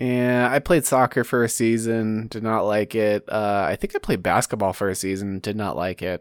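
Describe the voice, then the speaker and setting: In a plain, everyday voice, a man with a fairly low pitch speaks at a moderate pace with ordinary pitch variation, recorded very cleanly over a silent background with a dry, close sound and no echo. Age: 20s. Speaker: podcast host. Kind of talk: casual chat.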